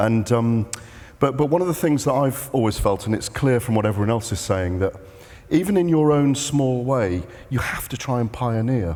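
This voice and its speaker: With a British accent, a man at medium pitch speaks with lively intonation. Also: moderate pace. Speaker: sports journalist. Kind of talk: panel discussion. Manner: loud; halting.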